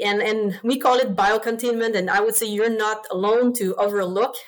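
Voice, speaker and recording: Over noticeable background noise, a woman with a French accent speaks fairly quickly in a fairly high pitch with monotone, flat intonation. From Quebec. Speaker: swine veterinarian. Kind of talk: interview. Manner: passionate.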